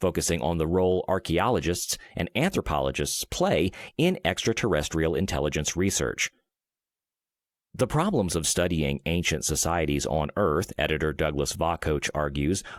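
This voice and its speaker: A man speaks in a very deep, low pitch with vocal fry and ordinary pitch variation. His loudness stays very even on a very clean recording with a silent background. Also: moderate pace. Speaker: voice actor. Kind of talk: sleep-aid reading of an encyclopedia article.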